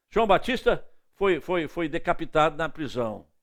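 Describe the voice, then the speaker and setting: Heard on a very clean recording with a silent background, a man talks at a fairly slow pace with very wide pitch swings. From northeastern Brazil, Recife. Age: 70s. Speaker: evangelist preacher. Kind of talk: sermon.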